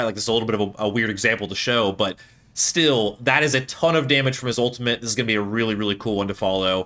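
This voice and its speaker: The pace is very fast. The tone is bright and sharp. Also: man. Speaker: video game commentator. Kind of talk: gameplay commentary. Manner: animated.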